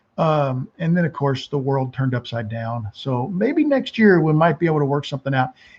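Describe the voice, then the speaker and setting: Speaking at a fairly quick pace with hardly any pauses, a man with a somewhat breathy voice and a fairly high pitch uses ordinary pitch variation against a quiet background. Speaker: woodturning channel host. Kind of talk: casual live stream chat, reading viewer comments. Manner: casual, informal.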